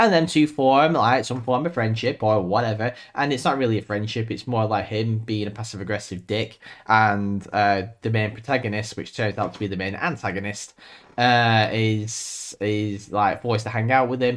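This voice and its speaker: A man speaks on a very clean recording with a silent background. His pitch varies in an ordinary way. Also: medium pitch for a man. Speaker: movie reviewer. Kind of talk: casual film review monologue. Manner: fast.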